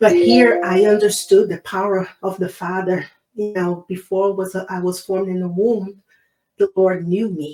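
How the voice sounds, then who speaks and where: Speaking in a Brazilian Portuguese accent, a woman with a medium-pitched, dark, mellow tone talks at a fairly slow pace with fairly even intonation. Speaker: abortion survivor and activist. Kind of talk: interview testimony.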